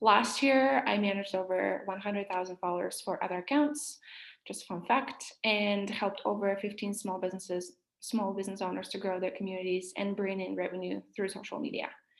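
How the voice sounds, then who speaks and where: A woman with a Russian accent talks at a fairly quick pace. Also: medium pitch for a woman, ordinary pitch variation. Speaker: social media marketing workshop leader. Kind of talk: online workshop presentation.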